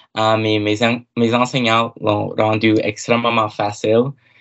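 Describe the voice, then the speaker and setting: A man speaks at a fairly slow pace in an English accent, his medium-pitched voice flat and monotone. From Cape Breton, Nova Scotia (Myra). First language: English (speaking French). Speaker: university student. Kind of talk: casual interview. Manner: halting, many fillers.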